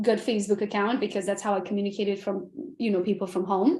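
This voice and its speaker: In a very clean recording with a silent background, a woman with a slight Romanian accent talks at a very fast pace, at a medium pitch with ordinary pitch variation. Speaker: realtor and coach. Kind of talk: podcast interview. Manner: animated.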